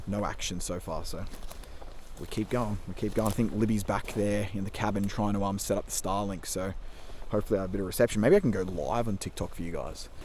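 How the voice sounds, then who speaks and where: In a room with audible echo, a man talks at a very fast pace in a fairly low pitch with monotone, flat intonation. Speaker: fishing vlogger. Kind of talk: casual vlog narration. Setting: outdoors by a stream.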